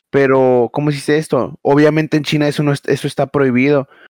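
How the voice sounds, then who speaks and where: In a Mexican accent, the flat, monotone voice sounds dry and close with no echo. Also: man. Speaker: podcast co-host. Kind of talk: casual chat.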